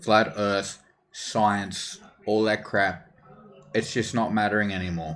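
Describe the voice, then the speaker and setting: In an Australian accent, a man speaks very slowly with long, frequent pauses. His fairly low voice stays monotone and flat. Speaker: gaming streamer. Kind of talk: casual chat.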